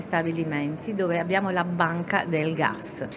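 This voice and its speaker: A woman with an Italian accent speaks at a fairly slow pace in a fairly low voice with fairly even intonation over noticeable background noise. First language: Italian (speaking French). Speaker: company manager. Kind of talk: interview. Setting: radio set at a trade fair.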